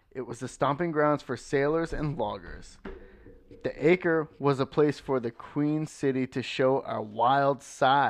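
A man with a plain, everyday voice, ordinary pitch movement and a fairly slow pace. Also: fairly high pitch for a man, quiet background. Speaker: podcast co-host.

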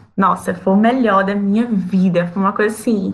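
At a moderate pace, a woman with a normal speaking voice talks at a medium pitch with fairly even intonation. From Brazil. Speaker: flight attendant. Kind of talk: casual chat.

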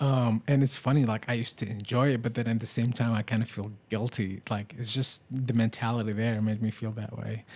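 Fairly quick pace from a man at medium pitch, monotone, flat intonation, very clean recording with a silent background. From Middle East. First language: Arabic. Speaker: podcast host. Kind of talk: casual chat.

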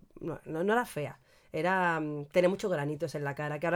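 Animated in tone, a woman talks very fast at a fairly low pitch with ordinary pitch variation. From Andalusia, Cádiz. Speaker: podcast co-host. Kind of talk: casual chat. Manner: animated, frequent laughter.

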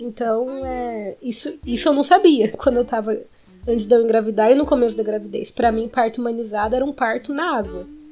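A high-pitched woman's voice over music in the background. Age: 20s. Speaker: podcast co-host, expectant mother. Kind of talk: casual chat.

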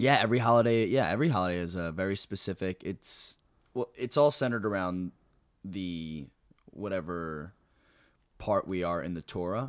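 In an American accent, the speaker talks at a moderate pace with lively intonation and long, frequent pauses, in a very clean, dry, close recording with no echo and a silent background. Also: man, very deep, low pitch for a man. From New Jersey. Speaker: comedian. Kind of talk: casual chat.

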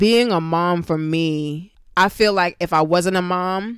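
A woman with a New York accent speaks at a fairly low pitch on a very clean recording with a silent background. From Brooklyn, New York. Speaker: dance teacher. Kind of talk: casual chat.

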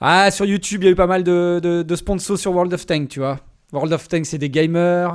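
A high-pitched man at a moderate pace with fairly even intonation, on a very clean recording with a silent background. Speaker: livestream host. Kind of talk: casual chat. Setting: home livestream.

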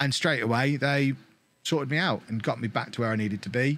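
Recorded very cleanly with a silent background, a man with an English accent speaks at a very fast pace. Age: 30s. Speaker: gaming content creator. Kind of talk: interview.

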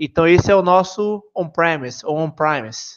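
A man with a Bahian accent at a moderate pace and ordinary pitch variation. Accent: Bahian Brazilian Portuguese. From Bahia, Brazil (Salvador). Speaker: software engineer. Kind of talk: podcast interview.

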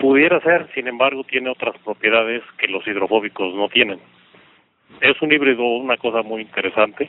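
Over noticeable background noise, a man speaks at a moderate pace with medium pitch. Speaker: regional sales and marketing manager. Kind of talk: interview. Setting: phone call. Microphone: traditional telephone line audio.

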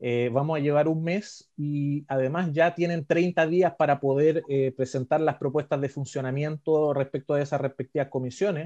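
Against a quiet background, a man talks at a moderate pace with hardly any pauses, his fairly high voice carrying a dark, mellow tone and fairly even intonation in a dry, close sound with no echo. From Chile, Coquimbo region. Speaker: podcast co-host, constitutional commentator. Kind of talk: casual explanatory chat.

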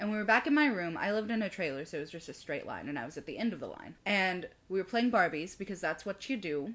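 A woman's very fast, medium-pitched speech with an American accent, very wide pitch swings and hardly any pauses. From US South. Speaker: podcast co-host. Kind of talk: casual chat.

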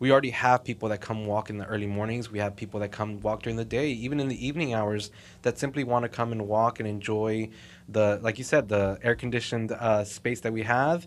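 A man with an American accent speaks at a very fast pace and a medium pitch. His intonation stays fairly even over a quiet background. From Texas, Southside Fort Worth. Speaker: mall marketing coordinator. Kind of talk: casual interview.

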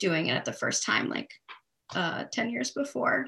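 Her voice is bright and sharp, with vocal fry. The woman speaks at a moderate pace and a medium pitch. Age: 20s. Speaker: climate activist. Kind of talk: interview conversation.

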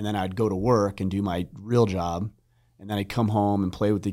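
In a very clean recording with a silent background, a man talks at a fairly quick pace. He has a fairly low pitch, fairly even intonation and a plain, everyday voice. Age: 40s. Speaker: podcast host and author. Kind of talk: casual chat.

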